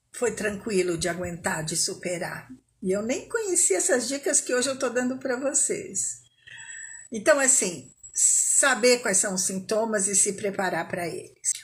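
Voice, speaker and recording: A somewhat breathy, fairly high female voice at a fairly slow pace, with very wide pitch swings. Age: 60s. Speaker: smoking cessation coach. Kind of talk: live talk to online audience. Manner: conversational, informal.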